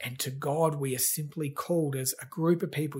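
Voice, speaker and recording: In a very clean recording with a silent background, a somewhat breathy voice with an Australian accent speaks at a moderate pace with fairly even intonation. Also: man. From Australia, Gold Coast. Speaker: pastor. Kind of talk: sermon.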